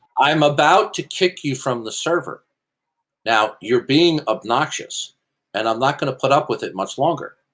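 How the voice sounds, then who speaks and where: At a moderate pace, a man speaks with vocal fry. The recording is very clean, with a silent background. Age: 60s. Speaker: apologetics debater. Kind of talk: heated debate. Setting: voice chat server. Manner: formal.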